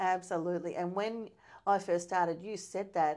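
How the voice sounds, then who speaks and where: In a very clean recording with a silent background, a woman with a fairly low pitch talks at a fairly quick pace with fairly even intonation. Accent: Australian. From Hay, New South Wales, Australia. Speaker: cadet journalist. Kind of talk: casual chat.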